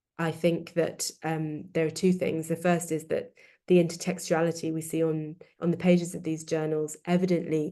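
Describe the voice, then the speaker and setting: This woman's voice is very deep and low, with a dark, mellow tone. She talks at a moderate pace in a monotone, flat delivery. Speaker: academic author presenting her book. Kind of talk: academic webinar talk. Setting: online webinar. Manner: hesitant with frequent fillers.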